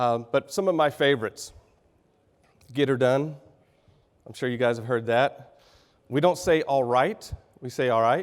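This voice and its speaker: With a Texan accent, a man speaks at a moderate pace in a medium pitch. His pitch variation is ordinary, and he takes long, frequent pauses. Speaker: business executive. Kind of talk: keynote speech. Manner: halting, clearing throat.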